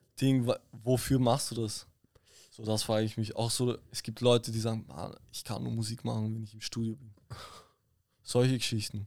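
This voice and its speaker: A man's medium-pitched, monotone voice at a moderate pace, with long, frequent pauses, in a very clean recording with a silent background. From Vienna, Austria. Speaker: artist manager. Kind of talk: casual chat.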